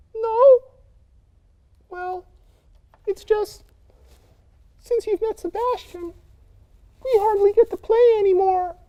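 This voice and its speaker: A cartoonish character voice at an extremely high pitch, fairly slow in pace, with long, frequent pauses. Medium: puppet.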